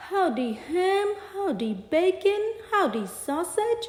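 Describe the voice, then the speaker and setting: Under a slight echo, a woman growls through a put-on character voice at an extremely high pitch and a very slow pace. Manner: growling, menacing.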